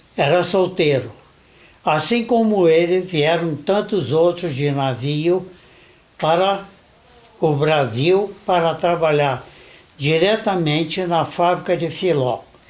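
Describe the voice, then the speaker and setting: This man speaks very slowly, with long, frequent pauses. His pitch is high, with ordinary pitch variation. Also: very even loudness. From Brazil, Nova Friburgo. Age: 70s. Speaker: interviewee, son of a German factory worker. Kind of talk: interview.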